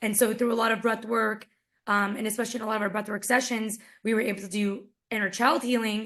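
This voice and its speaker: A woman talks at a very fast pace in a fairly high pitch. Her intonation stays monotone and flat. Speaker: summit speaker, wellness coach. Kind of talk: interview talk about personal growth. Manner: casual, conversational.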